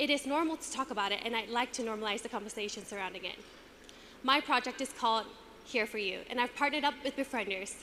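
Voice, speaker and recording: Very fast, high-pitched speech from a woman, ordinary pitch variation, noticeable background noise. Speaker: pageant contestant. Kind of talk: prepared speech.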